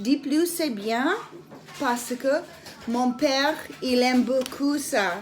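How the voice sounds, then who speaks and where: Very slow speech in an Irish accent over background music. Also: woman. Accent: non-native French, Irish English speaker. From Ireland. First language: English (speaking French). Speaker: essential oils seller. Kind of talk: product demonstration. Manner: halting, many hesitations and repetitions.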